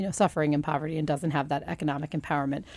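A woman speaks at a very deep, low pitch with vocal fry and a dark, mellow tone. The recording is very clean, with a silent background. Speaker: report co-author. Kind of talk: radio interview. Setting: radio studio. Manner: warm, conversational.

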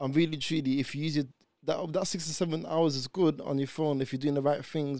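On a very clean recording with a silent background, a man with a London accent speaks at a very fast pace. His voice has a dark, mellow tone, a fairly high pitch and fairly even intonation. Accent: London multicultural English. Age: 20s. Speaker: podcast guest. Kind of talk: casual chat.

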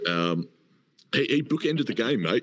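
A man with an Australian accent talks at a fairly quick pace. His intonation is lively. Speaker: podcast host. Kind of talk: casual live chat. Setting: hotel lobby, online audio space.

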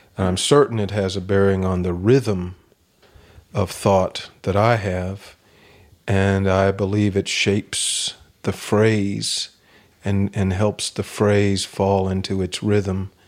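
In a Kentucky accent, a man speaks very slowly at a fairly low pitch. His intonation is monotone and flat. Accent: US Southern (Kentucky). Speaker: poet. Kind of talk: interview. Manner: halting.

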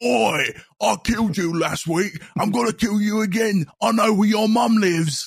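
A put-on character voice from a man, high-pitched, at a moderate pace. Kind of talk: rough, colloquial. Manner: menacing, taunting.

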